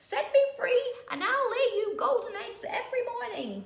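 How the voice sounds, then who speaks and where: In a put-on character voice, a woman speaks at a moderate pace in an extremely high, squeaky pitch, with slight echo. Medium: read story. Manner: clucking.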